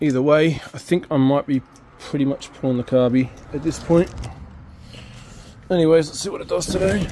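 A man with a fairly high pitch and a dark, mellow tone speaks at a moderate pace, with ordinary pitch variation and long, frequent pauses.

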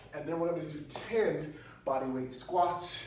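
There is audible room echo and light background noise. A man speaks with ordinary pitch variation. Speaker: fitness coach. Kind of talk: tutorial. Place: gym. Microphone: camera far.

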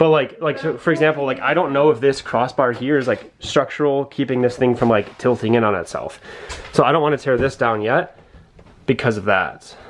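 The speaker moves at a fairly quick pace with ordinary pitch variation, and light background noise can be heard. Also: man. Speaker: vlogger renovating camper. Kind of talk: casual vlog chat.

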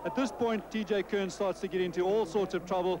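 Fairly quick and fairly even in intonation, a man speaks with a high pitch.

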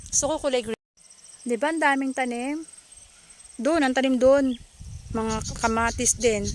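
With long, frequent pauses, a woman speaks at a moderate pace in a high-pitched, animated tone with ordinary pitch variation. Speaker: video blogger. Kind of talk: casual vlog narration. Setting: outdoors.

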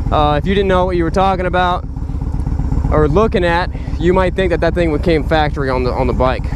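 Speech comes at a fairly quick pace over noticeable background noise, with a dry sound and no echo. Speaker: motorcycle dealership reviewer. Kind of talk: commentary. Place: motorbike. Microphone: helmet.

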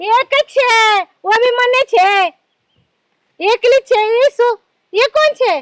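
A woman puts on a squeaky character voice at an extremely high pitch. She speaks at a fairly slow pace, with a dry, close sound and no echo. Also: very even loudness. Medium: comedy sketch. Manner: muddled, mixing languages.

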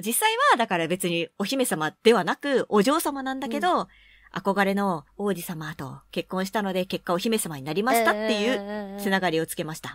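With a normal speaking voice, a woman at medium pitch talks at a moderate pace with lively intonation and big swings in loudness, the sound dry and close with no echo in a very clean recording with a silent background. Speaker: voice actor, radio co-host. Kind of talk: casual radio talk. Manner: lively, chatty.

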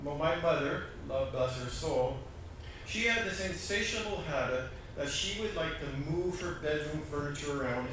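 There is strong room echo and noticeable background noise around this man's voice. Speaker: pastor. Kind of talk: sermon. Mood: warm storytelling. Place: church.

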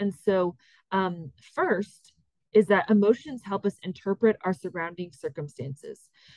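A woman talks at a moderate pace. The sound is dry, with no echo. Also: quiet background. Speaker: course instructor. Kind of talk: lecture. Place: home room.

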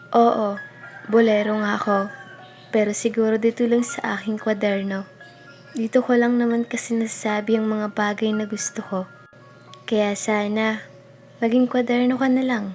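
A woman speaks at a moderate pace in a fairly high, monotone, flat voice, with long, frequent pauses. Music plays in the background. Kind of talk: spoken word poetry reading.

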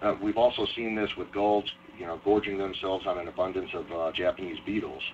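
Over noticeable background noise, a man with an American accent and a fairly low pitch speaks at a fairly quick pace with fairly even intonation. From Ohio. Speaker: wildlife biologist. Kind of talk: lecture presentation. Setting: online webinar.

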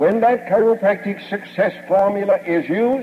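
Over light background noise, a man with a high pitch talks at a moderate pace with lively intonation. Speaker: chiropractic lecturer and radio station owner. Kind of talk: 1950s platform lecture, recorded speech to a live audience. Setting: stage with audience. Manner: formal, old-fashioned oratory, folksy and boastful, with jokes and anecdotes. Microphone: old recording.

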